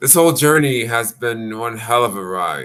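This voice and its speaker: Recorded very cleanly with a silent background, a man speaks at a medium pitch in a bright, sharp tone with ordinary pitch variation. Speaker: spiritual video blogger. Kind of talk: casual monologue. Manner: slow; halting.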